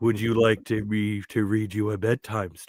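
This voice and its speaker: Putting on a character voice, a man speaks at a fairly low pitch with monotone, flat intonation. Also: moderate pace. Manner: creepy, unsettling.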